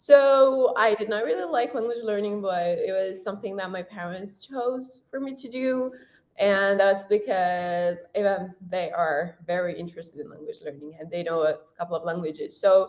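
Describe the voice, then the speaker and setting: A woman with a Persian accent, medium pitch and lively intonation, at a moderate pace with hardly any pauses and big swings in loudness. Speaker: university student and language content creator. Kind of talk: interview.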